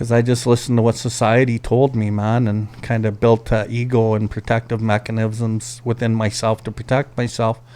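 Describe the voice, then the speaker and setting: A man's medium-pitched voice with a dark, mellow tone at a moderate pace. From Canada, Alberta First Nation. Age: 50s. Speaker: recovery advocate. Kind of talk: personal testimony in podcast interview.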